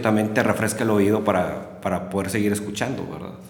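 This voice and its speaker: Amid noticeable background noise and audible room echo, a man talks at a fairly quick pace with a fairly low pitch. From Mexico, Monterrey. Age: 40s. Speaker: music enthusiast and musician. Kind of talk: casual chat.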